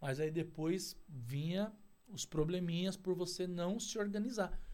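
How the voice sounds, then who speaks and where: This man has a high voice with a dark, mellow tone. He talks at a fairly slow pace with ordinary pitch variation. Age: 40s. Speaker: outsourcing business owner. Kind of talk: casual interview. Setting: studio.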